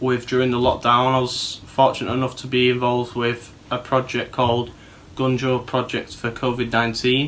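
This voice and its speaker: A man speaks with a Manchester accent at medium pitch. His pace is moderate. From Manchester, northern England. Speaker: TV show presenter, former rehab resident. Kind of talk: personal testimony. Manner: hesitant, with fillers and repetitions.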